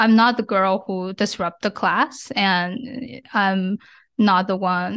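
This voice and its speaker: Against a quiet background, a woman with a Chinese accent speaks very slowly at medium pitch with ordinary pitch variation. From China. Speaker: ADHD advocate. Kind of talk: interview.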